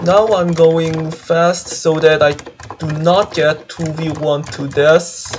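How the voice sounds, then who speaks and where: A man speaks very slowly at a fairly high pitch in a flat monotone, with noticeable background noise behind him. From South Korea. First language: Korean. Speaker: gaming streamer. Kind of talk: gaming live stream commentary. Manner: halting.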